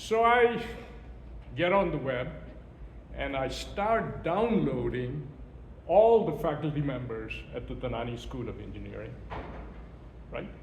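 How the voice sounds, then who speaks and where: A man at a fairly slow pace with long, frequent pauses and big swings in loudness, plus audible room echo and noticeable background noise. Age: 60s. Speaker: event speaker. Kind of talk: speech. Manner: animated.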